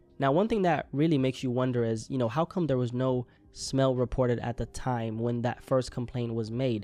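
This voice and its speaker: Over music in the background, a man talks at a fairly quick pace with hardly any pauses. His medium pitch stays in fairly even intonation. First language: not English (says English is third language). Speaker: news reaction commentator. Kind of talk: news commentary video. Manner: casual, conversational.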